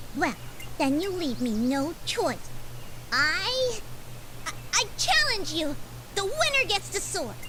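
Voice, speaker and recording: An extremely high-pitched, female-sounding put-on character voice at a fairly slow pace, with long, frequent pauses over loud background noise. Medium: video game. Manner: chatty, flighty.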